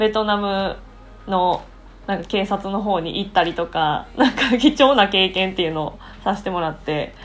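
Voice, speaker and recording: A woman with a medium-pitched voice speaks at a moderate pace in a Kansai accent. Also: ordinary pitch variation. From Japan, Osaka. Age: 20s. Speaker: English conversation teacher. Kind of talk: casual chat. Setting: video call.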